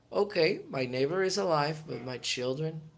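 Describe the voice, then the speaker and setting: Speaking at a fairly slow pace in a Spanish accent, a man uses a fairly high pitch with ordinary pitch variation. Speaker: motivational YouTuber. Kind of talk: motivational talk. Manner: animated.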